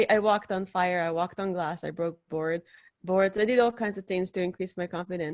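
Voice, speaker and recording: In a very clean recording with a silent background, a woman with a non-native accent speaks at a fairly quick pace and a medium pitch. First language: not English. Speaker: podcast host and dating coach, interview guest. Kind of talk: interview, advice-giving. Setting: live video stream.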